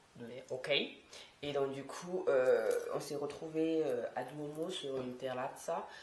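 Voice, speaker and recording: A woman speaks in a very deep, low voice with fairly even intonation, and the room echo is audible. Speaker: vlogger. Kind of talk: vlog monologue. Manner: casual, filler-heavy.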